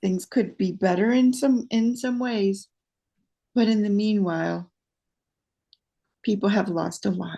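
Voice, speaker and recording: A somewhat breathy woman at a fairly slow pace, with long, frequent pauses. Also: medium pitch for a woman, ordinary pitch variation. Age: 70s. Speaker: protester. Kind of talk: interview conversation.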